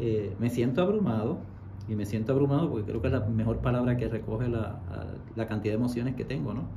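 A man at a very fast pace, with ordinary pitch variation and light background noise. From Puerto Rico, western region. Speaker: university professor and writer. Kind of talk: radio interview. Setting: radio studio. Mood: emotional, reflective. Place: studio. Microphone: studio mic.

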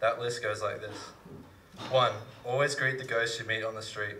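A man over light background noise. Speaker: slam poet. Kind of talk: poetry reading. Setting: live stage with audience. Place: stage. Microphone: handheld.

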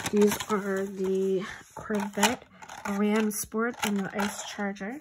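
There is noticeable noise in the background. Over it, a woman talks at a very slow pace. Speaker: small online toy seller. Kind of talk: casual vlog chat. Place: home room. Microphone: phone near.

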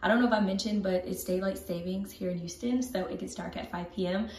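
In a room with audible echo, a woman talks at a fairly quick pace with fairly even intonation. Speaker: vlogger. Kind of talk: casual vlog chat. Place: bathroom. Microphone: phone near.

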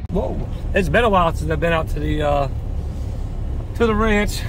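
A man talks at a fairly quick clip, his voice dry and echo-free over loud background noise. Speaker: vlogger. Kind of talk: casual vlog chat. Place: open country. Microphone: phone near.

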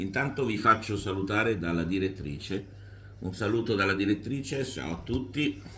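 A man's fairly low, bright and sharp voice at a moderate pace, with ordinary pitch variation and light background noise. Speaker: YouTube sports commentator. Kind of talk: angry rant against referees, sarcastic tirade; informal monologue to camera. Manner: indignant, sarcastic, emphatic, repetitive. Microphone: phone near.

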